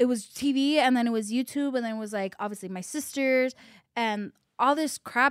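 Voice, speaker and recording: Recorded very cleanly against a silent background, a woman speaks in a high pitch with ordinary pitch variation and a dry, close sound that has no echo. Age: 20s. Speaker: podcast host. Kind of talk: casual interview chat.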